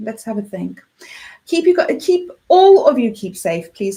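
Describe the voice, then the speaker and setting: A woman's high-pitched voice at a moderate pace, with a South African accent. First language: Afrikaans. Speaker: radio host. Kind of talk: radio show. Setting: radio studio. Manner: casual, chatty.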